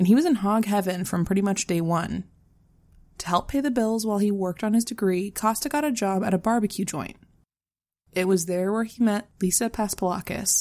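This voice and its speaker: A woman speaks in a plain, everyday voice at a medium pitch. Her pace is fairly quick, with ordinary pitch variation. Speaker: true crime podcast co-host. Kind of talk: casual storytelling of a true crime case.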